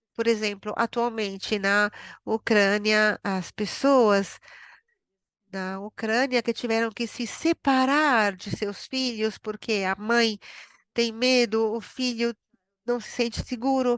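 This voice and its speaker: A woman speaks at a very slow pace and a fairly high pitch. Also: fairly even intonation, dry, close sound with no echo, quiet background. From Brazil. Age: 80s+. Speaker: psychotherapist, webinar presenter. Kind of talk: webinar Q&A, answering questions. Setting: online webinar. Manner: halting, with fillers.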